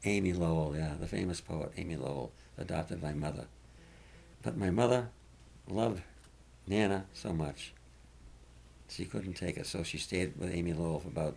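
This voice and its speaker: A man with a very deep, low pitch and vocal fry speaks at a moderate pace with ordinary pitch variation and long, frequent pauses. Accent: Boston. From Massachusetts. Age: 80s+. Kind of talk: interview answer.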